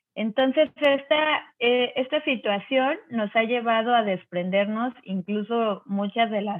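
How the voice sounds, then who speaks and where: A woman in an ordinary speaking voice talks at a fairly slow pace with ordinary pitch variation. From Mexico City, raised in Cancún. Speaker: organic gardening entrepreneur. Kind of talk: interview conversation.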